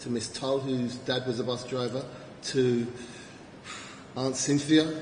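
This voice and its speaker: A man's medium-pitched voice at a moderate pace with ordinary pitch variation, plus audible room echo. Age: 50s. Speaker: event host. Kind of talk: event compering. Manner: animated.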